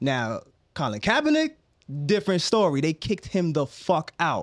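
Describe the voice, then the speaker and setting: An American-accented man with an ordinary speaking voice, fairly high in pitch, at a moderate pace, in a dry, close sound with no echo. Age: 30s. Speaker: podcast host. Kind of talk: casual chat.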